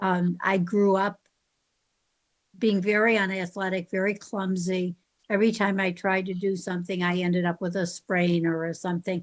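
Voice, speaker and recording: A woman at a moderate pace in a monotone, flat intonation. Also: medium pitch for a woman. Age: 80s+. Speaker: class participant. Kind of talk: casual chat. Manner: halting.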